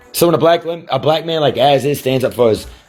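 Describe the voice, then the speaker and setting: Music plays in the background. A man talks over it at a very fast pace. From Virginia, US. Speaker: rapper and livestreamer. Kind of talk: livestream rant. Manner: animated.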